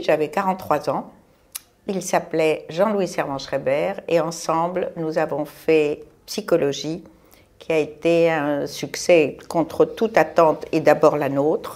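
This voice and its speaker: A woman's fairly low voice moves at a very slow pace. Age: 70s. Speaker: retired magazine publisher. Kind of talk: casual chat.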